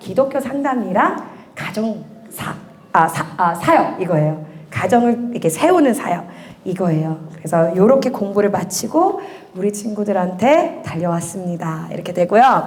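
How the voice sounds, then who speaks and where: An animated woman's voice with audible room echo and noticeable background noise. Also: medium pitch for a woman, lively intonation, moderate pace. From USA. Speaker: church education minister. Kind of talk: parent information session.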